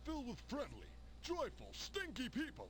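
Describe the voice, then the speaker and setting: Using a put-on character voice, a man speaks at a moderate pace in an enthusiastic tone over clear background noise. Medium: video game. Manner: loud, enthusiastic.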